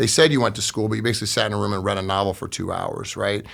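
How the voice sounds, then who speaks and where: A man with an American accent rattles along at a very fast pace in a monotone, flat intonation with vocal fry. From US Midwest (Iowa, Detroit). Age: 40s. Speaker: construction business owner. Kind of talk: interview testimony.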